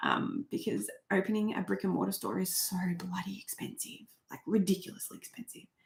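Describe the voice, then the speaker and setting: A woman with an Australian accent speaks at a fairly quick pace, with vocal fry and a medium pitch. Her pitch varies in an ordinary way, while her loudness swings a lot. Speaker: crochet YouTuber. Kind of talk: live stream chat reading comments. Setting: home live stream. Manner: animated.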